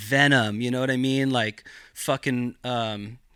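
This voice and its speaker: Recorded very cleanly with a silent background, the sound dry and close with no echo, a man with an American accent speaks at medium pitch in a bright, sharp tone with fairly even intonation. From Northern California, Mendocino County. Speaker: cannabis cultivator. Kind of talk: casual podcast interview.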